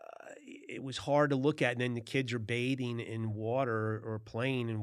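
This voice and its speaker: An ordinary speaking voice from a man with an American accent, fairly even intonation, and a moderate pace. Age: 60s. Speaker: podcast host. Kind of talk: casual interview chat. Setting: studio.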